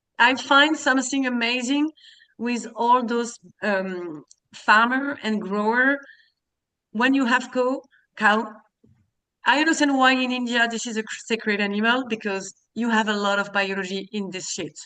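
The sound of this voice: Long, frequent pauses break up a woman's fairly slow speech. Her fairly high voice has a bright, sharp tone and ordinary pitch variation. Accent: French.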